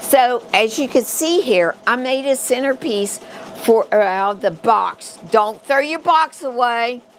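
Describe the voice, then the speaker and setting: A woman with a West Virginia accent speaks at a fairly slow pace in a high pitch. Her intonation is lively, and there is noticeable background noise. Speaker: crafting instructor. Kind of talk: live tutorial. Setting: livestream. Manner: casual, halting.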